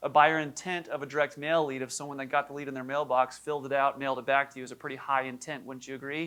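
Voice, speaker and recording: A man talks at a very fast pace in a fairly high pitch. His tone is bright and sharp, with big swings in loudness. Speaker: keynote speaker on insurance marketing. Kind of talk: conference keynote talk. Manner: energetic.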